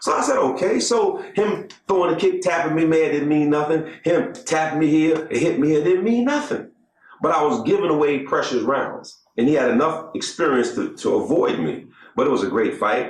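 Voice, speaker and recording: A man's fairly high voice at a moderate pace, with very wide pitch swings, very even loudness and audible room echo. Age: 80s+. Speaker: martial artist, former kickboxing fighter. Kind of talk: documentary interview.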